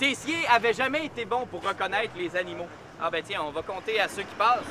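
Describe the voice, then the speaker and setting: A man with a high voice speaks up in a raised, projected voice at a fairly quick pace. His intonation is lively, and there is noticeable background noise. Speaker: storyteller. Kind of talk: oral storytelling. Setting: outdoors. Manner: animated.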